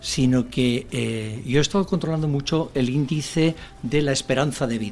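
Noticeable background noise sits behind a man speaking at a medium pitch. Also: ordinary pitch variation, moderate pace. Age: 60s. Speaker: senior professionals association president. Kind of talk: radio interview.

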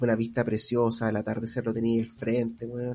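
A man speaks with a Chilean accent at a medium pitch. His tone is dark and mellow. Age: 30s. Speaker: podcast co-host. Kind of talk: casual chat.

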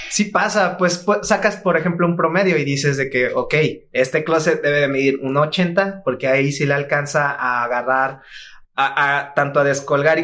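Talking at a moderate pace, a man with a Mexican accent uses a fairly high pitch and ordinary pitch variation. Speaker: furniture designer. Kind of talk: casual chat.

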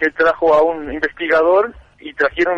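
A man talks in an unremarkable speaking voice at a fairly high pitch and moderate pace. The sound is dry and close, with no echo. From Uruguay. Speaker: seeker of ancient wisdom. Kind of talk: interview.

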